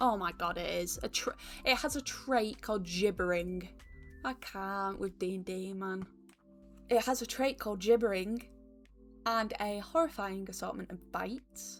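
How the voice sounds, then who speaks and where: A woman speaks with a Northern English accent. Music plays in the background. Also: medium pitch for a woman, ordinary pitch variation, fairly slow pace. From Northern England. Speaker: YouTuber. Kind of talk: casual talk to camera.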